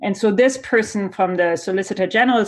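With a German accent, a woman talks at a fairly quick pace. The background is quiet. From Germany. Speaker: sociology professor. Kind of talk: interview.

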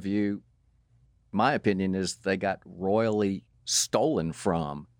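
A man talks at a very slow pace with a fairly low pitch and ordinary pitch variation. The recording is very clean with a silent background and a dry, close sound with no echo. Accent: Southern US. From Atlanta, Georgia, US South. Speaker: parent of the host. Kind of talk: casual chat. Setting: studio.

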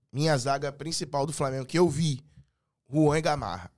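A man with a fairly high pitch at a moderate pace, in a very clean recording with a silent background. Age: 30s. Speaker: entrepreneur and delivery business consultant. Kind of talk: casual chat.

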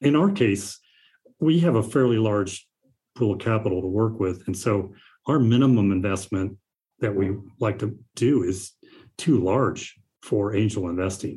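Over a very clean, silent background, a man with a fairly low pitch speaks at a moderate pace with long, frequent pauses. His tone is dark, mellow and somewhat breathy, with ordinary pitch variation. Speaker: investor. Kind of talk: interview conversation.

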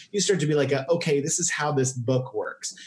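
A man with an American accent, fairly high-pitched with ordinary pitch variation, at a moderate pace over noticeable background noise. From Oklahoma, Tulsa. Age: 40s. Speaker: comedian. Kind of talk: casual chat.

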